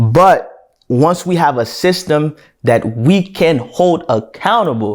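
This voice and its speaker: A man with a Haitian accent at a very slow pace, with very wide pitch swings and very even loudness, in a very clean recording with a silent background. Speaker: podcast co-host. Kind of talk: casual discussion.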